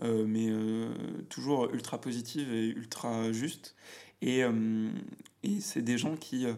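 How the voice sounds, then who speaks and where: The man's pitch moves in an ordinary way. He is the one talking here. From France, Auvergne (near Clermont-Ferrand). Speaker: business manager and podcaster. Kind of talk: casual chat. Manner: halting, many fillers and repetitions. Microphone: echoey, cavernous room sound.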